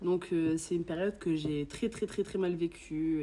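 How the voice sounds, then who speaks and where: A woman with an ordinary speaking voice, fairly low pitch, lively intonation and a fairly slow pace. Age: 20s. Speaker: podcast guest sharing covid experience. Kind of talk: testimony. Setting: in-person podcast recording.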